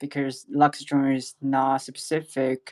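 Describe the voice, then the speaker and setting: With a non-native accent, the words come out at a very slow pace. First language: not English. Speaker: web3 project representative. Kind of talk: panel discussion. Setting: online audio space. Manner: halting.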